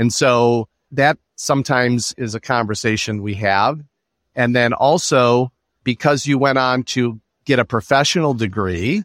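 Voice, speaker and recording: With an unremarkable speaking voice, a man speaks at a moderate pace with medium pitch and ordinary pitch variation, in a dry, close sound with no echo on a very clean recording with a silent background. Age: 50s. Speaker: student loan financial advisor. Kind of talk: interview.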